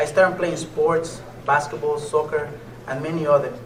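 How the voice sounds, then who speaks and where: There is audible room echo and noticeable background noise as a man with a Mexican accent talks at a fairly quick pace and a fairly high pitch. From Mexico, Nayarit (near Puerto Vallarta). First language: Spanish. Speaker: motivational speaker and MMA fighter. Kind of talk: motivational speech.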